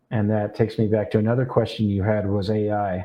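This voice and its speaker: With a fairly low pitch, the man keeps to a moderate pace. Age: 60s. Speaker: real estate photographer, former visual effects artist. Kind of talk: interview. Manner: casual, with fillers.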